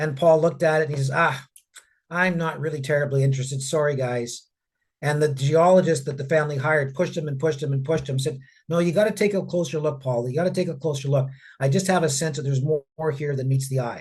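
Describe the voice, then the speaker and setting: A man talks at a very fast pace in a fairly high, somewhat breathy voice. His intonation stays fairly even. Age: 60s. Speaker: mining company executive. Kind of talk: interview. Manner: repeats words, halting restarts.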